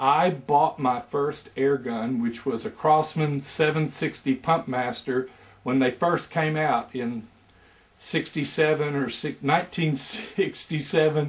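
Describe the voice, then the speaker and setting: A man speaks very slowly in an Arkansas accent. His pitch is fairly high. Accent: Southern US (Arkansas). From Arkansas Delta, US South. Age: 60s. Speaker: airgun hobbyist. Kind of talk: self-introduction video, casual storytelling. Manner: hesitant with many fillers.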